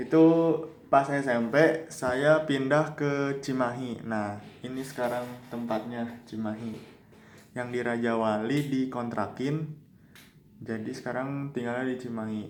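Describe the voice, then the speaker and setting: A man speaks at a medium pitch with fairly even intonation, and room echo is audible. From West Java (Bandung area), born in Yogyakarta. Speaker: university student. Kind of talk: personal life story for a class assignment. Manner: casual, conversational.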